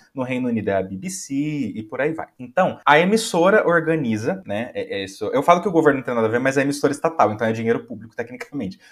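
Very fast and fairly high-pitched, a man talks with very wide pitch swings. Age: 20s. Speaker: music enthusiast guest. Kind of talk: casual chat. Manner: animated.

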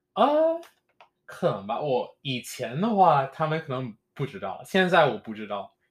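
This man talks at a fairly slow pace with a fairly high pitch and very wide pitch swings. His loudness rises and falls in big swings. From Jamaica. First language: English (speaking Chinese). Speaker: podcast host. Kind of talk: casual chat. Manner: halting.

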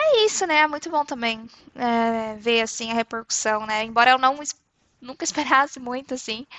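Her voice sits at a high pitch with ordinary pitch variation. The woman keeps a moderate pace. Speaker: podcast co-host. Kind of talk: recorded self-introduction.

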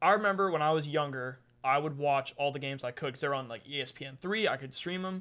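Against a quiet background, a man talks with a bright, sharp tone. His pitch is fairly high, with ordinary variation. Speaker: lacrosse podcast co-host, player. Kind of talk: casual chat. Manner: halting.

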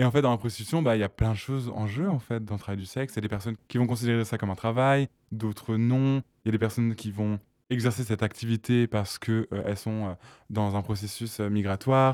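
Speaking very fast at a medium pitch, a man keeps his intonation fairly even in a dry, close sound with no echo. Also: very clean recording, silent background. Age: 20s. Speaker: sex worker and activist. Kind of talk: interview testimony. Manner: casual, with hesitations.

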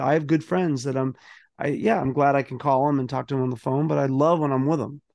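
A man with an American accent has an unremarkable speaking voice, fairly high in pitch with ordinary pitch variation. He talks at a fairly quick pace over a quiet background. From Boston, Massachusetts (South Boston). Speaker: motivational speaker and author. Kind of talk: interview conversation.

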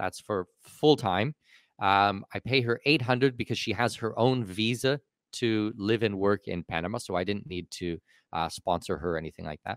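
A man with a normal speaking voice, fairly low pitch, moderate pace and ordinary pitch variation, in a very clean recording with a silent background and a dry, close sound with no echo. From Canada. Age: 40s. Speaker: expat and offshore tax consultant. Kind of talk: casual interview chat.

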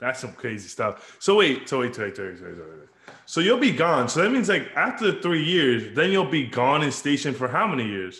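A man at a moderate pace, animated, with vocal fry, very wide pitch swings and big swings in loudness. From Dominican Republic. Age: 20s. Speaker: podcast host. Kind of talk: casual chat.

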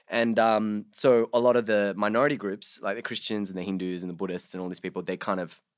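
Recorded very cleanly against a silent background, a man with an Australian accent talks very fast at a fairly low pitch with ordinary pitch variation. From Sydney, Australia (born Bangladesh, moved at six). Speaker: actor. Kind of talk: casual chat.

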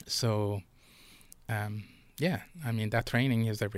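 In a very clean recording with a silent background, a man with a fairly low pitch talks at a moderate pace. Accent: Quebec. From Montreal, Quebec (Pointe-Saint-Charles). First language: French. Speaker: former police officer. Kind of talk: casual chat.

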